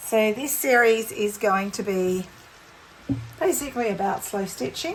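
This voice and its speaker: A woman speaks with an Australian accent and lively intonation at a fairly slow pace. Light background noise is present. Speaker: textile art teacher. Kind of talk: tutorial. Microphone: phone near.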